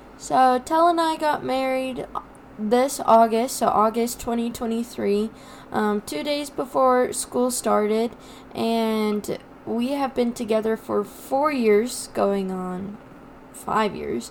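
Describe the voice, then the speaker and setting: Very slowly, a woman with an American accent speaks at a fairly high pitch. Noticeable background noise is present. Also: ordinary pitch variation. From eastern plains of Colorado. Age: 20s. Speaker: agriculture teacher and podcast co-host. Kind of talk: casual chat.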